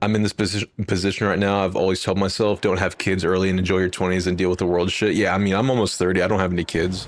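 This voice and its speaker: A man's very deep, low voice in an American accent, very fast and animated, with very even loudness and hardly any pauses. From Texas, near Fort Worth. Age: 20s. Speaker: gaming streamer. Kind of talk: casual chat.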